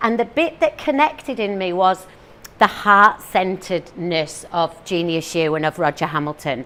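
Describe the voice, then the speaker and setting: A woman with a northeast English accent speaks at a moderate pace and medium pitch, with very wide pitch swings. Her tone is animated, bright and sharp. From northeast England. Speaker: teacher and motivational speaker. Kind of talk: talk to a live audience.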